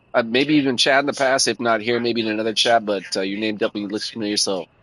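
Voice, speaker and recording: A man with an American accent at a very fast pace, bright and sharp in tone, dry and close with no echo over a quiet background. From US West Coast, Oakland / San Francisco Bay Area. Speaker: gaming live streamer. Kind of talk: casual live-stream chat. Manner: casual, hesitant with many fillers.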